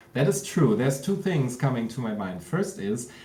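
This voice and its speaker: Noticeable background noise sits behind the speech. The delivery is fairly quick. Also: man. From Germany. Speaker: professional magician and scare actor. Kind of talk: interview answer.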